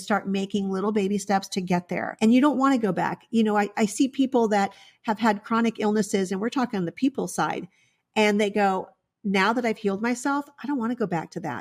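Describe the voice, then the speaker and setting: A woman speaks at a fairly quick pace in a normal speaking voice, her pitch fairly high with ordinary variation. The recording is very clean, with a silent background. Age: 60s. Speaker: veterinarian. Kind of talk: interview.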